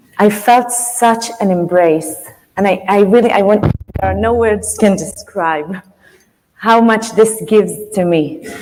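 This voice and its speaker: A woman with an Israeli accent speaks at a fairly slow pace and medium pitch. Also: ordinary pitch variation. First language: Hebrew. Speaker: author and teacher. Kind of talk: speech to audience. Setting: stage with audience. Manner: halting.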